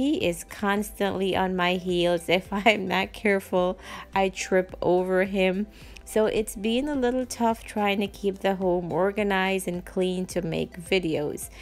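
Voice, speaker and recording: Music plays in the background as a woman speaks at a fairly slow pace with fairly even intonation. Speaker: home decor channel host. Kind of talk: casual vlog chat.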